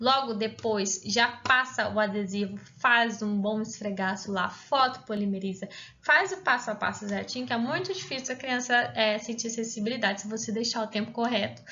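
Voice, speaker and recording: With audible room echo around her, a woman speaks at a moderate pace in a fairly high pitch with ordinary pitch variation. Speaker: pediatric dentist teaching. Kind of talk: lecture.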